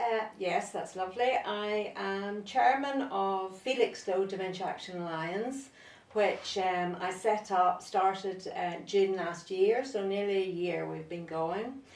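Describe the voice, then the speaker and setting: A woman with a Northern Irish accent speaks at a fairly slow pace with hardly any pauses, her medium pitch showing ordinary variation. Noticeable background noise and audible room echo are present. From Northern Ireland. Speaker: nurse and therapist. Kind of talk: interview.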